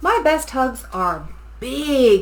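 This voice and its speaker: A woman performs a put-on character voice. Light background noise can be heard. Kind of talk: bedtime story. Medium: read story.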